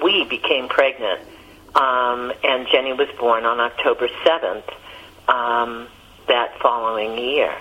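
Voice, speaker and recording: Amid noticeable background noise, a woman talks very slowly. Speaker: therapist and cancer survivor. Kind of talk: interview.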